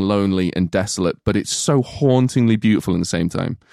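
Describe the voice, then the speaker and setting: Very fast speech from a man with an English Midlands accent, fairly low in pitch, with a dry, close sound and no echo. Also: very clean recording, silent background. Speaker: podcast co-host, film reviewer. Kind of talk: casual chat. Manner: animated.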